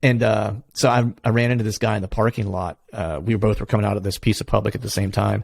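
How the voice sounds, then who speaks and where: A man's fairly low voice with a Pennsylvania accent, very fast and with hardly any pauses, in fairly even intonation. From Pennsylvania, US. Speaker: hunting podcast host. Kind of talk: casual interview chat.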